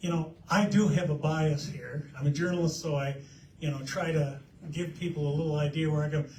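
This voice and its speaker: Over noticeable background noise, a man with an American accent talks in a flat monotone at a fairly high pitch. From Eastern Idaho. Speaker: journalist. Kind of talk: panel talk. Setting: library forum with audience. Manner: loud.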